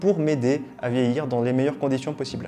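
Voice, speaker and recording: Over music in the background, a man with a fairly high voice talks at a fairly quick pace with ordinary pitch variation. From Réunion. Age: 30s. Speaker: YouTuber, nutrition and wellbeing creator. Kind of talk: casual vlog, year review. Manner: casual, many filler hesitations.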